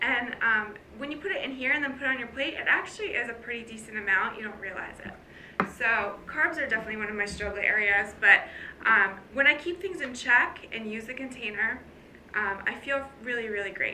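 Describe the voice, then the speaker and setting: Amid noticeable background noise and audible room echo, a woman with a fairly high voice talks at a fairly quick pace, her intonation lively and her loudness swinging widely. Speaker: fitness coach. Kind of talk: casual vlog talk. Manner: fast.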